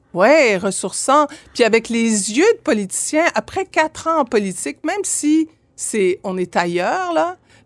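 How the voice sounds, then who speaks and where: A woman in a Quebec accent, very slow in pace, with very wide pitch swings, on a very clean recording with a silent background. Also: fairly high pitch for a woman. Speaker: former MP, lawyer and journalist. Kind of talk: casual interview. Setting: studio. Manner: halting, many fillers.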